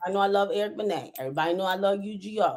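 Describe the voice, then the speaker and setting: Loud and animated, a woman with an American accent speaks at a fairly high pitch. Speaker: school climate manager. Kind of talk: casual chat. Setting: livestream.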